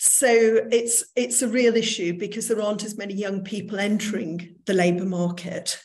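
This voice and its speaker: A woman's somewhat breathy voice sits at a medium pitch, with fairly even intonation and a moderate pace. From northern England, Manchester. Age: 60s. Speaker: recruitment business owner. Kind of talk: online lecture.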